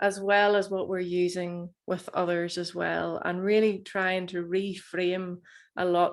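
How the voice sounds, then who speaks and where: A woman in a Northern Irish accent, medium in pitch, at a very slow pace. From Northern Ireland. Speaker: plant medicine facilitator. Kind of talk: webinar talk.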